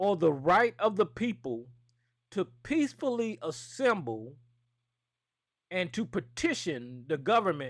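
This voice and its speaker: In a very clean recording with a silent background, a man with a Southern US accent swings his pitch very widely. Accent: American country. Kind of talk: casual, profane.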